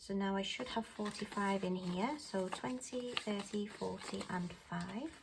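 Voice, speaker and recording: A soft-spoken woman talks at a moderate pace and medium pitch with ordinary pitch variation. Noticeable background noise runs beneath her voice. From UK. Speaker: budgeting vlogger. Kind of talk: casual talk-through tutorial.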